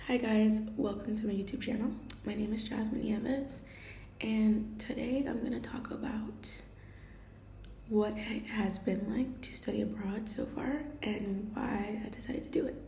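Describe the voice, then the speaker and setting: Amid noticeable background noise and audible room echo, the speech moves at a moderate pace with fairly even intonation. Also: woman, fairly high pitch for a woman. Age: 20s. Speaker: vlogger and art student. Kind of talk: personal vlog. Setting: kitchen at home. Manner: casual, hesitant.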